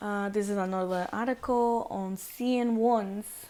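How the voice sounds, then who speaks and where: A woman's tone is dark and mellow as she talks very slowly. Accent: non-native. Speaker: student presenter. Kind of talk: class presentation. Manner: halting, many repetitions and fillers.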